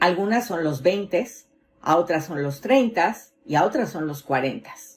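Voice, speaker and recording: Somewhat breathy and fairly low in pitch, a woman speaks at a fairly slow pace with very wide pitch swings. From Mexico City. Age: 50s. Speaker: motivational speaker. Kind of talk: motivational talk.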